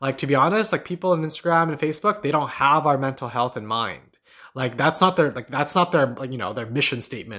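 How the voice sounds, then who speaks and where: A fairly high-pitched man with a bright, sharp tone, a very fast pace and lively intonation, against a quiet background. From Newfoundland, Canada (St. John's). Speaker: meditation teacher and podcast host. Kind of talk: live stream chat and Q&A. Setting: live stream from home on laptop. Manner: casual, filler-heavy with frequent repetitions.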